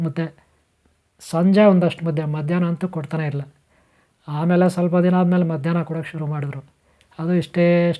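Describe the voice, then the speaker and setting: A man speaks in a high-pitched voice with a dark, mellow tone and flat, monotone intonation. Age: 50s. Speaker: spiritual teacher. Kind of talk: spiritual talk. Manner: halting.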